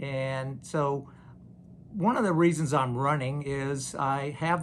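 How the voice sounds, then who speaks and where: Audible room echo surrounds a man with an American accent who speaks fairly slowly at a fairly high pitch with fairly even intonation. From US South, Louisiana. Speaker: HOA board candidate. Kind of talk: campaign statement. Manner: hesitant, many fillers.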